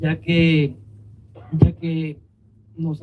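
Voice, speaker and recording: Somewhat breathy male speech with a dark, mellow tone. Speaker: immigrant facing deportation case. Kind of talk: speech at a vigil.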